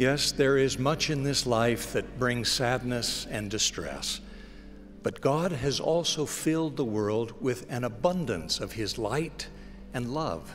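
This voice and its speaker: Faint music sits in the background. A man at a medium pitch speaks very slowly. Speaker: radio broadcast announcer delivering spoken-word message. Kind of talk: inspirational spoken-word message. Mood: warm, gentle, hopeful. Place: hall. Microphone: podium.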